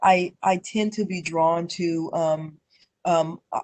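Her voice is fairly low for a woman, with an American accent and monotone, flat intonation. The sound is dry and close, with no echo. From US West, Denver, Colorado. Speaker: local politician. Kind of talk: interview. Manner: many fillers and repetitions.

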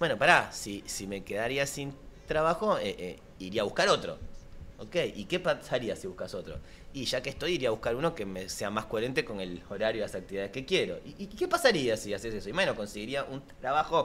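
A man speaks in a bright, sharp tone. His pitch swings very widely over light background noise. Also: fairly quick pace. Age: 40s. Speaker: life coach; guest coach. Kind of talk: casual chat. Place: studio. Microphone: studio mic.

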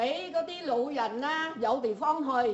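At a fairly slow pace, a woman speaks with a high, slightly mellow voice and lively intonation.

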